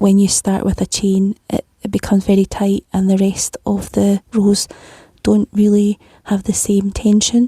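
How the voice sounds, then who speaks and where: In a Scottish accent, a woman speaks fairly slowly and somewhat breathily at a medium pitch, her intonation flat and monotone, with a dry, close sound and no echo. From Scotland. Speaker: crochet tutor. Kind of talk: tutorial. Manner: calm, step-by-step instructions.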